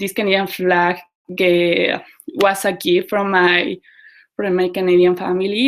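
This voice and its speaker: A woman speaks with a Mexican accent in a monotone, flat intonation. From Mexico. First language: Spanish. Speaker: community organizer. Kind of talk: casual talk to online group. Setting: video call. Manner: halting.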